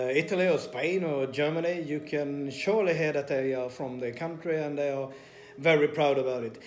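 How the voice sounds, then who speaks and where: A man with a Swedish accent, fairly high in pitch, with fairly even intonation. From Sweden. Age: 40s. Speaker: personal trainer and vlogger. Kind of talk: personal vlog confession. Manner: hesitant with many fillers.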